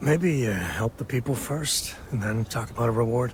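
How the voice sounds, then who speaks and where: Putting on a raspy character voice, a man speaks at medium pitch and a moderate pace. Light background noise can be heard. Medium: video game. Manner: dry, laconic.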